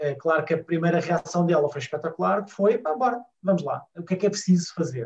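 Speaking at a fairly quick pace with hardly any pauses, a man uses a high pitch and ordinary pitch variation. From Portugal, Lisbon. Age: 40s. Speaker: family travel blogger. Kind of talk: casual interview chat.

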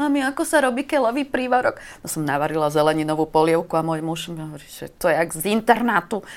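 A woman talks at a very fast pace in a fairly low pitch with lively intonation. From eastern Slovakia, Košice. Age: 50s. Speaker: writer. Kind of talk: casual chat. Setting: studio.

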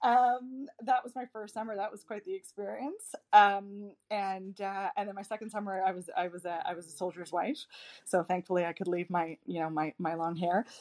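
A woman with an ordinary speaking voice, medium-pitched with ordinary pitch variation, at a moderate pace with hardly any pauses and big swings in loudness, in a dry, close sound with no echo. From Nova Scotia, Canada. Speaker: diplomat. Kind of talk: casual interview chat.

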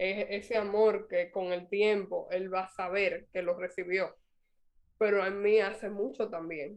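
Speaking at a fairly slow pace, a woman with a Dominican accent keeps a monotone, flat intonation at a medium pitch. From Dominican Republic. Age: 30s. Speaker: mother and public figure. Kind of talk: interview.

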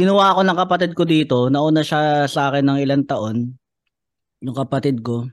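The speaker has an unremarkable speaking voice with ordinary pitch variation. The pace is fairly slow, and the background is quiet. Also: man. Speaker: stand-up comedian. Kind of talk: casual chat.

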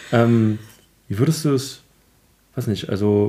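A man speaks in a dark, mellow tone. His pitch is medium, and his intonation stays fairly even. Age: 30s. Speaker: IT consultant, podcast host. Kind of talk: casual chat. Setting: home recording, sitting on the floor.

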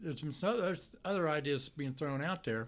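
A man talks with an Appalachian accent. His pitch varies in an ordinary way. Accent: West Virginia (Appalachian) American. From West Virginia, Grafton. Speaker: state legislator, retired. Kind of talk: casual interview. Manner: halting.

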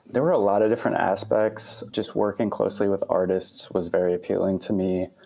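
Over noticeable background noise, a man with a fairly low pitch talks with hardly any pauses, fairly even intonation, and very even loudness. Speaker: student concert promoter. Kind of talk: casual interview.

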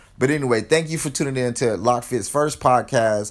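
Energetic in tone, a man with an American accent speaks at a medium pitch with ordinary pitch variation on a very clean recording with a silent background. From California, Los Angeles. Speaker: fitness podcaster. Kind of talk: motivational solo podcast. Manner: casual, energetic.

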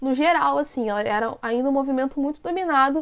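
A woman speaks in a high-pitched voice. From Brazil, Rio de Janeiro city. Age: 30s. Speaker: YouTuber and researcher. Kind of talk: casual interview chat.

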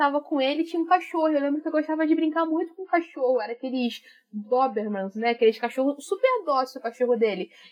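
The delivery is very fast, and the intonation is lively throughout. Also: woman. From Brazil, Rio de Janeiro north zone. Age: 30s. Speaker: YouTube presenter and master's student. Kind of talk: casual chat.

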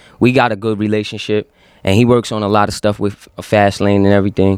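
A man with an American accent at a very fast pace and fairly low pitch, on a very clean recording with a silent background. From Yonkers, New York. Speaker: rapper. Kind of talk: casual chat. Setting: studio.

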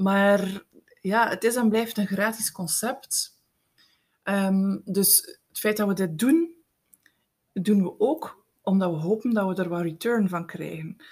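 A woman speaks at a very slow pace in a medium-pitched, somewhat breathy voice, leaving long, frequent pauses. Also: ordinary pitch variation. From Belgium, East Flanders (Eeklo, Meetjesland). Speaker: podcast co-host, writing coach. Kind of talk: casual chat.

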